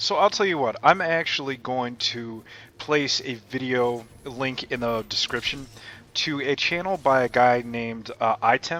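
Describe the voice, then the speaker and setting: This man's medium-pitched voice has a bright, sharp tone, ordinary pitch variation, and a fairly slow pace. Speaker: gaming YouTuber. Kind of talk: gameplay commentary. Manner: casual, conversational.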